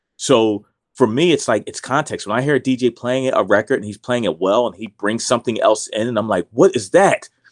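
In an ordinary speaking voice, a man of medium pitch talks fairly quickly with hardly any pauses and ordinary pitch variation, in a dry, close, very clean recording with a silent background. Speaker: break DJ and record collector. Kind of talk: casual interview.

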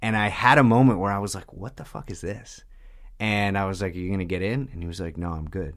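With ordinary pitch variation, a man talks in an American accent. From New York, Long Island. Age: 30s. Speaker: person in addiction recovery. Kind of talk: testimony.

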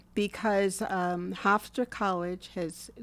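A woman speaks at a very slow pace with fairly even intonation and a medium pitch, on a very clean recording with a silent background. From US Northeast, Long Island. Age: 70s. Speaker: retired ICU nurse. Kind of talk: casual interview, personal storytelling.

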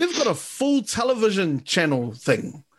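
A man with a New Zealand accent and a high pitch, very wide pitch swings, a fairly slow pace and a quiet background. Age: 20s. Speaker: podcast host. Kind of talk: casual chat.

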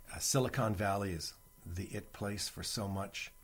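The man's fairly low voice has a somewhat breathy quality. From Canada (Toronto). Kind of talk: interview.

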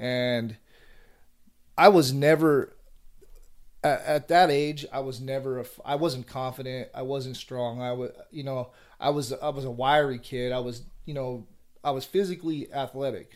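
A man of medium pitch speaks at a moderate pace with fairly even intonation, long and frequent pauses, and big swings in loudness. The recording is very clean, with a silent background. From Northern California (Vallejo). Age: 30s. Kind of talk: casual interview chat.

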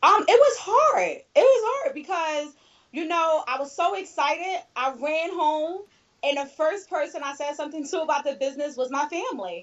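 Speaking in a Philadelphia accent, a woman with an extremely high pitch moves at a moderate pace with lively intonation. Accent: Philadelphia American. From US Northeast, Philadelphia. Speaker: network marketing leader. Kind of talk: interview.

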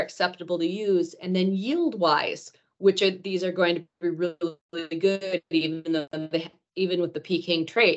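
With a Wisconsin accent, the speaker talks with fairly even intonation. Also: woman. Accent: Upper Midwest (Wisconsin). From northern Wisconsin, Rhinelander. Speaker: agronomy research manager. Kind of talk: casual interview.

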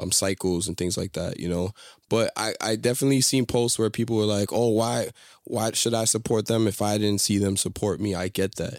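In a very clean recording with a silent background and a dry, close sound with no echo, a man uses a normal speaking voice, fairly low in pitch, at a fairly quick pace with fairly even intonation. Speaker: co-host. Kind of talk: casual banter podcast chat.

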